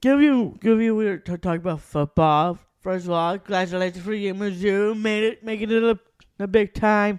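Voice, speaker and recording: Against a quiet background, with a dry, close sound and no echo, a man with an American accent speaks at a high pitch. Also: ordinary pitch variation, moderate pace. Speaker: podcast co-host, wrestling fan. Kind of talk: casual chat. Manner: halting, repeats words.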